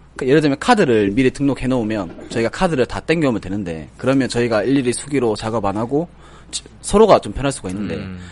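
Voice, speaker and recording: Over noticeable background noise, a man talks at a very fast pace. His medium-pitched voice has lively intonation. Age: 30s. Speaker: tax accountant. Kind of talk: casual chat.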